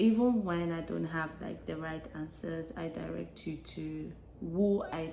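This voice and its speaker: Soft-spoken and at a very slow pace, a woman with a fairly low pitch uses lively intonation while audible room echo fills the recording. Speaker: lifestyle vlogger. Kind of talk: casual vlog monologue. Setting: home, early morning. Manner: hesitant.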